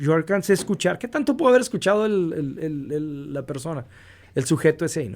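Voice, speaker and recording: Recorded very cleanly against a silent background, a man speaks at a moderate pace with lively intonation. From US-Mexico border region. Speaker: radio announcer. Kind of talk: interview answer. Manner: dynamic.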